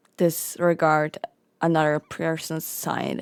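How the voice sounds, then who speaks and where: A soft-spoken woman talks in a very deep, low voice with flat, monotone intonation. The recording is very clean, with a silent background. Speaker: roleplay streamer. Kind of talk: in-character roleplay chat.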